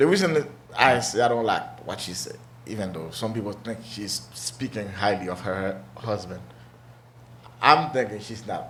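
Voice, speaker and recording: A man with a non-native accent at a moderate pace, long, frequent pauses and big swings in loudness, amid noticeable background noise and audible room echo. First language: not English. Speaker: talk show host. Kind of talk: casual discussion.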